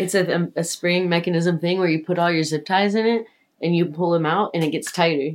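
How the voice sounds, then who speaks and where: An American accent marks a woman with an unremarkable speaking voice, fairly low in pitch, talking at a fairly quick pace with very even loudness in a very clean recording with a silent background. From USA. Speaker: festival stage worker and restaurant worker. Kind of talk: casual chat. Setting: sitting together on a bed at night.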